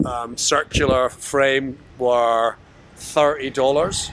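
Light background noise sits behind a dry sound with no echo. The speaker, a man, keeps fairly even intonation. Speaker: vlogger. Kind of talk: casual vlog chat. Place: street. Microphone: phone near.

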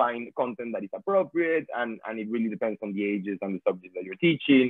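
A man with a Venezuelan accent speaks at a fairly quick pace with ordinary pitch variation. The sound is dry with no echo, and the background is quiet. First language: Spanish. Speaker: language tutor and filmmaker; language teacher panelist. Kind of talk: webinar talk about teaching experience. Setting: video call. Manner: repeats words, halting. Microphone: video call.

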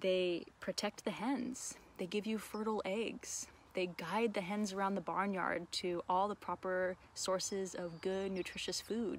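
Speaking at a fairly slow pace, a woman keeps a fairly even intonation in a dry recording with no echo. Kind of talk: casual educational vlog chat. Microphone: phone near.

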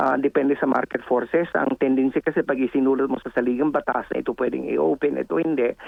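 Speech runs at a very fast pace with hardly any pauses, loudness very even and pitch variation ordinary. Background noise is noticeable. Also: man, medium pitch for a man. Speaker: political analyst and professor. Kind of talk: interview. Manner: halting.

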